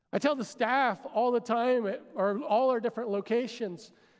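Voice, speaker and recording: Against a quiet background, a man speaks at an extremely high pitch. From Pennsylvania, US. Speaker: pastor. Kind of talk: sermon. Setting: church with congregation. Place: stage. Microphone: headset.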